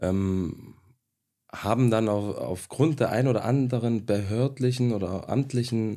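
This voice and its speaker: A man speaks at a fairly slow pace in a medium pitch with ordinary variation and a dark, mellow tone. The recording is very clean, with a silent background. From Stuttgart, Germany. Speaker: sporting director, restaurateur. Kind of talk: casual chat. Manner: hesitant, many fillers.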